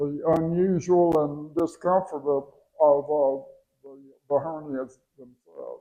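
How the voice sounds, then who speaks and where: Very slowly, a man speaks with fairly high pitch and fairly even intonation, his loudness swinging widely. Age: 80s+. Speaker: surgical patient giving testimonial. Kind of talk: testimony. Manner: halting, many fillers and repeats.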